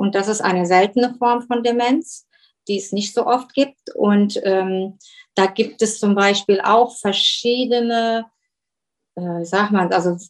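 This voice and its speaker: With ordinary pitch variation, a woman delivers her words fairly slowly. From Germany. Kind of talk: interview. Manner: halting.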